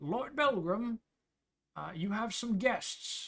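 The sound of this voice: A loud, put-on character voice, fairly high in pitch and at a very slow pace.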